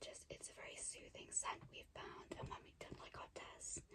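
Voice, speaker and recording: A woman whispers at a fairly slow pace. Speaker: ASMR artist, roleplaying a sleep clinic relaxation therapist. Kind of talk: ASMR roleplay, personal attention. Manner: soft-spoken, whispered, calming.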